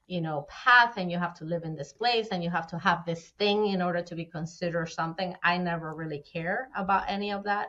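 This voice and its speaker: A woman speaks at a fairly quick pace with a Spanish accent, her pitch fairly low. Her tone is bright and sharp, with hardly any pauses. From Venezuela. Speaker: fractional CFO. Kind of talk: podcast interview answer.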